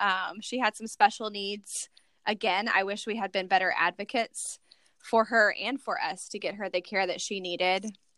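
In a very clean recording with a silent background, a woman with a plain, everyday voice and an American accent talks at a moderate pace, at medium pitch with fairly even intonation, in a dry, close sound with no echo. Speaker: foster and adoptive mom, blogger. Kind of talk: casual interview. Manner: chatty, many filler words.

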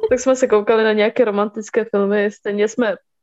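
This woman's voice sits at a medium pitch with a slightly mellow tone. Her intonation stays fairly even.

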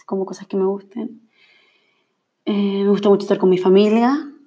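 A woman with a Chilean accent, dark, mellow tone, medium pitch and moderate pace. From Chile, Valparaíso region. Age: 20s. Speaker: podcaster and journalist. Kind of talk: casual solo monologue. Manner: laughs often.

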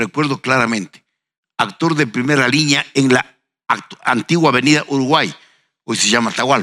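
A man's bright, sharp tone with long, frequent pauses and a dry, close sound with no echo. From Ecuador, Ambato. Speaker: historian and university professor. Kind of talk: panel discussion.

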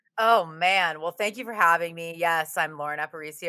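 A woman's fairly low, bright, sharp voice with an animated tone, ordinary pitch variation and a fairly quick pace, in a very clean recording with a silent background. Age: 30s. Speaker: actor. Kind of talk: casual chat.

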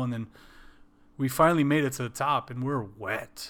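A normal speaking voice with an American accent, delivered at a moderate pace with fairly even intonation. The recording is very clean, with a silent background. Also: man. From Wisconsin. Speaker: podcast co-host. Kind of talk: casual chat.

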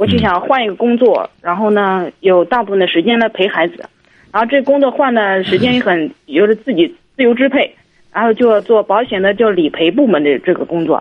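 In a normal speaking voice, the talker moves at a fairly quick pace with lively intonation. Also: woman, medium pitch for a woman. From Jiangsu, China. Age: 30s. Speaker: caller, insurance worker. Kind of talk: phone-in conversation.

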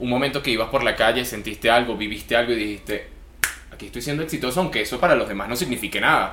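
Audible room echo surrounds a man at medium pitch. He speaks at a very fast pace with ordinary pitch variation. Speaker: podcast host. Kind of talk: interview.

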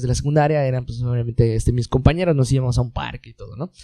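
This man talks at a very fast pace in a dark, mellow tone. His pitch is medium, with ordinary variation. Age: 20s. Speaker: engineer. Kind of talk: casual chat.

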